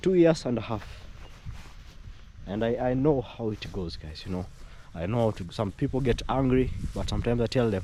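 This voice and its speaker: At a moderate pace, a man with an East African accent speaks in a medium pitch. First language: Swahili. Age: young. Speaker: vlogger. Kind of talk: casual vlog commentary. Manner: halting, many repetitions and fillers.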